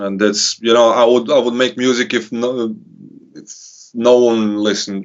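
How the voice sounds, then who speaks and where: A man at a medium pitch with a monotone, flat delivery, a moderate pace and big swings in loudness. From Serbia. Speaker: hip hop artist. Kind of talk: casual interview. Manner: halting.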